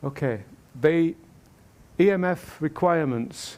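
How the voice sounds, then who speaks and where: A dark, mellow tone with ordinary pitch variation. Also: man. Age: 70s. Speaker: amateur radio presenter. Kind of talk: Q&A after a talk. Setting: convention hall with audience.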